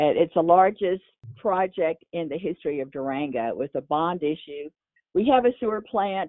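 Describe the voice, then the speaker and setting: A woman with a Texan accent speaks at a fairly low pitch. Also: lively intonation, moderate pace. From Texas. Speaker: mayor. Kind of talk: interview. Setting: podcast.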